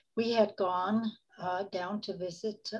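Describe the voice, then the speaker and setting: A woman speaks at a very slow pace with fairly even intonation over a quiet background. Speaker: interview guest. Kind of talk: interview answer. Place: home room. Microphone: video call.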